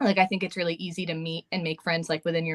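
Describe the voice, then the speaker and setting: Recorded with a dry, close sound and no echo, a woman speaks at a fairly low pitch with fairly even intonation. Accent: American. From New York. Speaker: special education teacher. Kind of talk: casual interview. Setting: live stream video call. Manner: fast; hesitant, many fillers.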